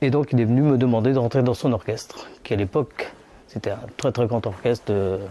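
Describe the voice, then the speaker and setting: At a moderate pace, a man talks with medium pitch, ordinary pitch variation, and a dark, mellow tone. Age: 60s. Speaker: retired singer. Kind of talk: interview testimony. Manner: halting.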